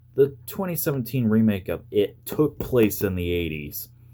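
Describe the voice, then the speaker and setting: A man mumbles at a moderate pace in a dark, mellow tone, his pitch swinging very widely. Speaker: YouTuber. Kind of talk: casual review talk to camera. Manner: stuttering, mumbling.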